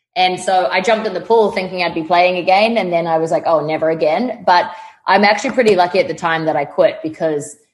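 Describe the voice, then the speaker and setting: A woman with a New Zealand accent talks at a very fast pace. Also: medium pitch for a woman, ordinary pitch variation. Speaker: fitness trainer. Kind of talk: casual chat. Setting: video call. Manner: animated.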